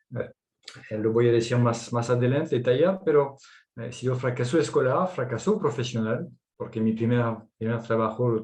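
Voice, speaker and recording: Somewhat breathy, a man's voice moves along at a moderate pace. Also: medium pitch for a man, ordinary pitch variation. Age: 50s. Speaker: entrepreneur. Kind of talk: personal testimony.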